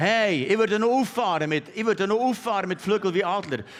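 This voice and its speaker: Very clean audio, a silent background, and a man talking at a moderate speed. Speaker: pastor. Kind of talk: sermon. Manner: animated.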